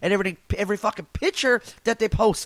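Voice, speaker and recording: A man's loud voice in a Newfoundland accent. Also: dry, close sound with no echo. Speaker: comedian podcaster. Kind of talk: casual solo podcast rant.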